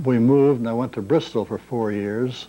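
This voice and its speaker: A man talks with a St. Louis accent at medium pitch. His tone is dark and mellow, his pace moderate. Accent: Midwestern American (St. Louis). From US Midwest, St. Louis, Missouri. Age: 70s. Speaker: retiree recording memoirs. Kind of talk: oral history monologue. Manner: unscripted, ad lib.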